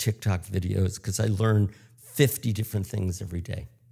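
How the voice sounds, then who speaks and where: A man with an American accent speaks at a moderate pace in a fairly low pitch, his somewhat breathy voice dark and mellow in tone with fairly even intonation. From United States. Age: 70s. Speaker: public speaking coach. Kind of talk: interview.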